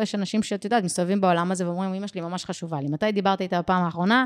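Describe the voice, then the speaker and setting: Energetic in tone, a woman speaks at a medium pitch with ordinary pitch variation on a very clean recording with a silent background. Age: 30s. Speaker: business and life coach. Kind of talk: podcast interview.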